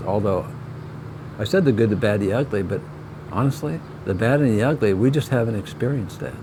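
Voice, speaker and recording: Through noticeable background noise, a man talks at a medium pitch with ordinary variation in it. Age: 70s. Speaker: video creator, husband. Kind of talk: casual chat.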